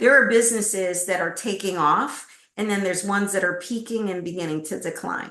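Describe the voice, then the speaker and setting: With audible room echo around her, the woman holds a medium pitch and fairly even intonation. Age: 60s. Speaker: executive recruiter. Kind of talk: interview.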